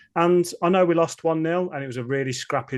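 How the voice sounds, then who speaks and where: A man with a Birmingham accent, ordinary pitch variation and a quiet background. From Birmingham area, England. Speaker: football fan podcaster. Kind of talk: casual interview.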